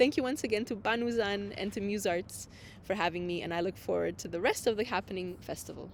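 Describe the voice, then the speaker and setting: Her medium-pitched voice shows vocal fry as the woman talks at a very fast pace with ordinary pitch variation. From Romania. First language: Romanian. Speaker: poet. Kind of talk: poetry reading event remarks.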